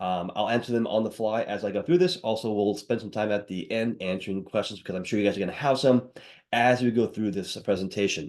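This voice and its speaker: Talking at a very fast pace, the man uses ordinary pitch variation against a quiet background. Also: fairly low pitch for a man. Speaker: webinar presenter. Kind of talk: sales webinar presentation. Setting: live webinar with video camera. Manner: animated.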